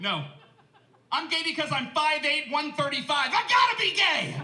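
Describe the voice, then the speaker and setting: The voice is raised and projected. There's audible room echo and noticeable background noise. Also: man. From New Orleans, Louisiana. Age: 30s. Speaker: comedian. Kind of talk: stand-up. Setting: stage with audience. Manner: animated.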